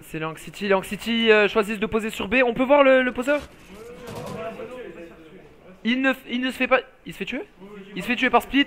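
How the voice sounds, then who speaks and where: Speaking fairly slowly with long, frequent pauses, a man uses an extremely high pitch with ordinary pitch variation and big swings in loudness, against noticeable background noise. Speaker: esports commentator. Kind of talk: live commentary. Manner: animated.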